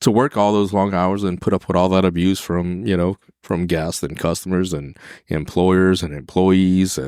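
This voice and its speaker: A man speaks at a moderate pace with a very deep, low pitch and fairly even intonation. The recording is very clean, with a silent background. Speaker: chef and restaurant manager. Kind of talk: casual interview chat. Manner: dry, deadpan.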